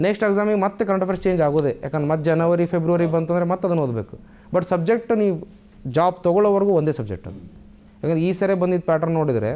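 This man's voice has a high pitch and a dark, mellow tone. His pitch varies in an ordinary way. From India, north Karnataka (Haveri district, Ranebennur); Karnataka, India. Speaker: newly selected police sub-inspector, engineering graduate; candidate. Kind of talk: interview. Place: studio. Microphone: lapel.

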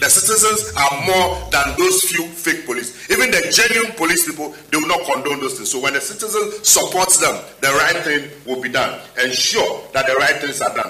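With music in the background and audible room echo, a man talks at a moderate pace with hardly any pauses. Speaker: party spokesperson. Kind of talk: press conference statement. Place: hall. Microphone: podium.

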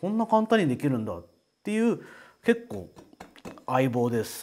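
At a moderate pace, a man speaks with very wide swings in pitch. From Japan. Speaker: potter presenting his own work. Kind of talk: casual product introduction video. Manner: casual, conversational. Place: studio. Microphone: lapel.

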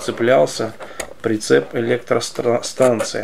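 The speaker is a man. Faint noise sits in the background. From Soviet Union (Russia). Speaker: model collector YouTuber. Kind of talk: product review. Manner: halting, many filler sounds. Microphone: phone near.

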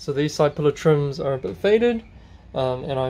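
A man with a dark, mellow tone and a somewhat breathy voice speaks fairly quickly with lively intonation over light background noise. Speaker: car hobbyist channel host. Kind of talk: tutorial. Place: garage. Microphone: phone near.

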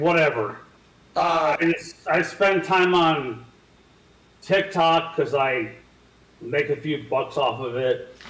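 Amid audible room echo, a man speaks very slowly at a high pitch with ordinary pitch variation. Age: 50s. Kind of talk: casual chat. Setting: video call. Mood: defiant, casual. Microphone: video call.

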